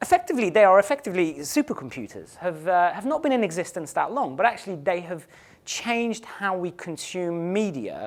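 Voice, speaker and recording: A man with an English accent and a high pitch, lively intonation and a moderate pace, on a very clean recording with a silent background. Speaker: conference speaker, digital strategy director. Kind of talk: conference presentation. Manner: some hesitations and restarts.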